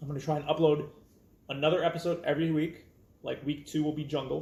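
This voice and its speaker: This man's voice sits fairly high in pitch and comes across as somewhat breathy. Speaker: card game youtuber. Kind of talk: casual tutorial talk to camera. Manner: hesitant with fillers.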